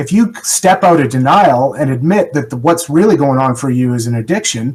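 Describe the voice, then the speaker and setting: A man speaks at a fairly quick pace with lively intonation. His medium-pitched voice is somewhat breathy. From Canada. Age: 40s. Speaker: person in long-term recovery. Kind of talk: podcast interview.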